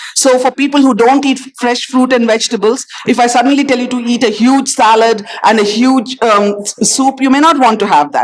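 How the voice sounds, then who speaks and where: Over noticeable background noise, a woman talks at a fairly quick pace with a high pitch and ordinary pitch variation. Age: 60s. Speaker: doctor. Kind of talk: panel discussion.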